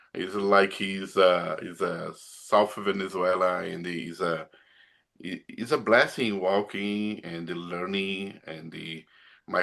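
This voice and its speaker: A man with a Brazilian accent and a very deep, low, bright, sharp voice speaks at a fairly slow pace in a monotone, flat intonation, his loudness swinging widely against a quiet background. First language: Portuguese. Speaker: pastor. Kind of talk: casual chat. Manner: halting.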